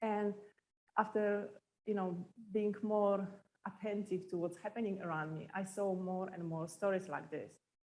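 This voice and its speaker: A woman with a Polish accent, medium pitch, moderate pace and monotone, flat intonation. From Poland. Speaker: entrepreneur. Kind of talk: talk to an audience.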